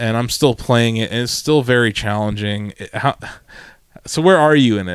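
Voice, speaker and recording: The man talks at a moderate pace in an unremarkable speaking voice, with medium pitch and ordinary pitch variation. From Ohio. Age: 30s. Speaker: podcast host. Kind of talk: casual chat.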